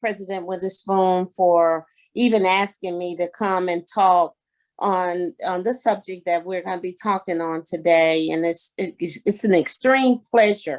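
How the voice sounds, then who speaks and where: Recorded very cleanly against a silent background, with a dry, close sound and no echo, a woman with a Southern US accent speaks at a fairly slow pace and ordinary pitch variation. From Arkansas. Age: 60s. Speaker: community activist and guest speaker. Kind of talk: talk at a community meeting.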